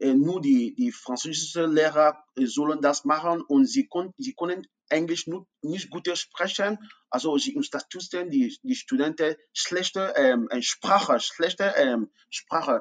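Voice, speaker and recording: Speaking at a fairly slow pace with an English accent, a man uses a high pitch and very wide pitch swings. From anglophone Cameroon. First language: English (speaking German). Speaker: refugee and university student. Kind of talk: interview. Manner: halting, many fillers.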